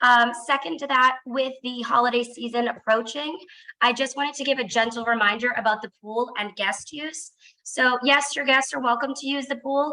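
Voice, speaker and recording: Loud and high-pitched, a woman speaks in a bright, sharp tone with fairly even intonation. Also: moderate pace. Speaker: fitness and activities staff. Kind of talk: announcements. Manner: trying to speak loudly.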